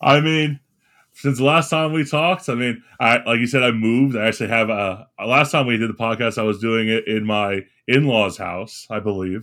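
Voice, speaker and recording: A man with an American accent speaks in an ordinary speaking voice at a medium pitch and a moderate pace, with ordinary pitch variation. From Florida. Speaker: podcast co-host; teacher. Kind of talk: casual chat.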